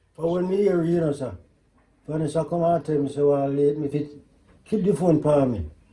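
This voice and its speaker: A man's fairly high, dark and mellow voice, somewhat breathy, at a moderate pace with ordinary pitch variation and long, frequent pauses. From rural Jamaica. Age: 80s+. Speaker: farmer. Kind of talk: casual chat.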